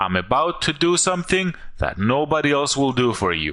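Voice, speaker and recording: A man's fairly high voice with very wide pitch swings, a bright, sharp tone and a non-native accent, at a moderate pace against a quiet background. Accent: foreign. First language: not English. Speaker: online marketer. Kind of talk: sales pitch.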